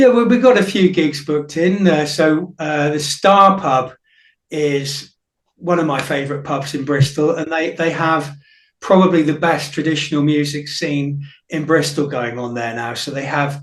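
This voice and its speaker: A man with a fairly high pitch, in audible room echo. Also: ordinary pitch variation, moderate pace. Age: 50s. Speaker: folk musician, singer-songwriter. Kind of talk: radio interview. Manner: hesitant, many fillers.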